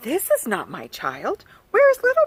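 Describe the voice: A woman uses a put-on character voice that sits fairly high, swings very widely in pitch and has a slightly husky edge.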